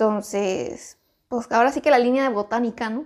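A woman speaks at a fairly slow pace. Her voice sits high in pitch. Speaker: podcast co-host. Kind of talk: casual chat.

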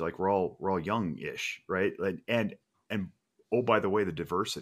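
This is an ordinary speaking voice from a man with an American accent, fairly low in pitch, with ordinary pitch variation. He goes at a moderate pace, and the recording is very clean with a silent background. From Reno, Nevada. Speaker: firearms safety trainer. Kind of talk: casual chat.

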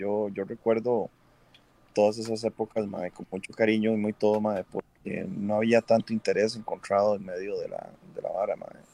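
A man with a Costa Rican accent, a dark, mellow tone, medium pitch, ordinary pitch variation and a moderate pace, in a dry, close sound with no echo. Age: 40s. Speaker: cosplayer. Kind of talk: casual chat. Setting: livestream.

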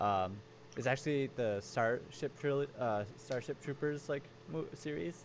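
This man speaks at a fairly slow pace with ordinary pitch variation. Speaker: podcast host. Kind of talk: casual chat. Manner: smooth.

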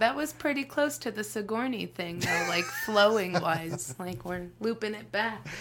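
Over noticeable background noise, a woman of medium pitch speaks at a fairly slow pace with lively intonation and big swings in loudness. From Las Vegas, Nevada, US. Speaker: stand-up comedian. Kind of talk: casual chat.

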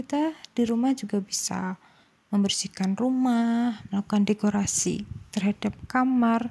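A woman's somewhat breathy, dark, mellow voice, fairly high in pitch, with fairly even intonation at a fairly slow pace. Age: 20s. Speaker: university student. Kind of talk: solo talk.

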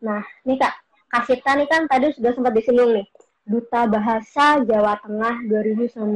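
A woman's high-pitched voice, with ordinary pitch variation, proceeds at a moderate pace. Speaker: student host of online talk. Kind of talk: casual chat interview.

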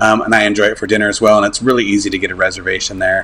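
A man speaks in a monotone, flat intonation with an American accent. His pitch is fairly low, and there is noticeable background noise. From US West. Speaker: Disney travel contributor. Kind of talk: casual chat.

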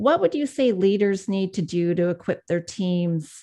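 Against a quiet background, a woman speaks fairly slowly in a dark, mellow tone. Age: 40s. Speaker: podcast host, leadership coach. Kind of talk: interview.

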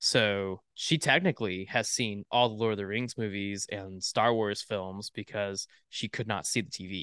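A man with an American accent speaks at a moderate pace with hardly any pauses, his bright, sharp tone fairly low in pitch with fairly even intonation, in a dry, close sound with no echo and a quiet background. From Florida. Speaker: podcast co-host. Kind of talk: casual chat.

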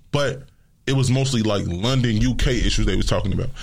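The voice comes with vocal fry at a very fast pace. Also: man. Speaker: radio show guest. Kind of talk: informal slang. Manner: casual, conversational.

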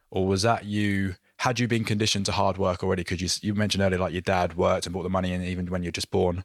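In a very clean recording with a silent background, a man with a very deep, low pitch rattles along at a very fast pace with hardly any pauses and monotone, flat intonation. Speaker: podcast host and performance coach. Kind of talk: interview, ad read.

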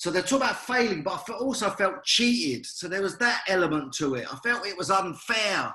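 A man with a British accent speaks in a raised, projected, energetic voice that sits high and swings very widely in pitch. His pace is fairly quick, and the room echo is audible. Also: hardly any pauses. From UK. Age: 50s. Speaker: former boxer and motivational speaker. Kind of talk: interview.

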